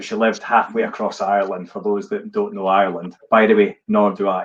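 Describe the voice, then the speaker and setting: A man speaks with a Scottish accent at a moderate pace. His pitch swings very widely. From Scotland. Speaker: live-stream host. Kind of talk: casual chat on a live stream. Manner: animated.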